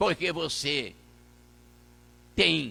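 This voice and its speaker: A man speaks very slowly with a Minas Gerais accent. His raised, projected voice has a bright, sharp tone. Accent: Minas Gerais Brazilian Portuguese. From Brazil, Minas Gerais. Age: 80s+. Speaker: pastor. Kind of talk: sermon. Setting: church. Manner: halting.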